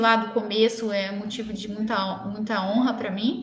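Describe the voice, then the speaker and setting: Amid noticeable background noise and audible room echo, a woman speaks at a fairly high pitch with monotone, flat intonation. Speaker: dentist. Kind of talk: live-stream health talk with viewer Q&A. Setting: online live stream. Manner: fast.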